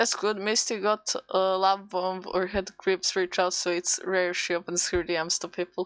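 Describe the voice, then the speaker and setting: Speaking with a non-native accent at a moderate pace, a woman keeps a medium pitch and monotone, flat intonation, with hardly any pauses over a quiet background. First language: not English. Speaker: VTuber streamer. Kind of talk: casual live stream chat while drawing. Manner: halting, self-interrupting.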